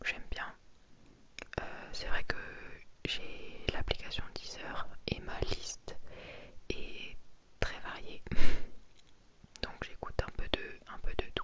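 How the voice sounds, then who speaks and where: A woman whispers very slowly, pausing long and often, with noticeable noise in the background. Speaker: ASMR content creator. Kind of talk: casual talk to camera. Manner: soft-spoken, friendly, hesitant.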